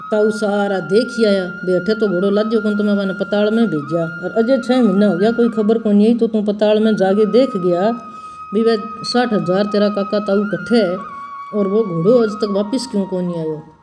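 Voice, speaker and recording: Someone with a Rajasthani accent speaks with music in the background. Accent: Bagri Rajasthani dialect. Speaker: religious storyteller. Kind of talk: devotional story narration.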